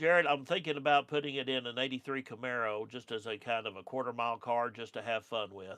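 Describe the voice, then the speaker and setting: An Oklahoma accent at a fairly quick pace with fairly even intonation. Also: man. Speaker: car restoration youtuber. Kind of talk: live stream chat reading comments. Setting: studio. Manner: casual, hesitant with fillers.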